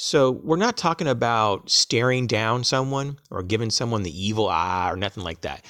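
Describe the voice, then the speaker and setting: Speaking at a fairly slow pace, a man with an ordinary speaking voice and medium pitch uses lively intonation on a very clean recording with a silent background. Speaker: prepping channel creator. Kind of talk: tutorial.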